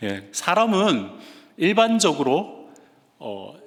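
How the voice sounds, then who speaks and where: A man speaks with a Gyeongsang accent. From Gyeongsang region, Korea. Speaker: guest preacher, seminary professor. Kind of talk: sermon. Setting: church.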